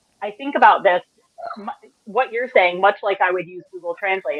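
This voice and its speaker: A woman speaks in a plain, everyday voice. Her pace is moderate and her intonation lively. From US. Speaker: panel moderator. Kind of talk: panel discussion.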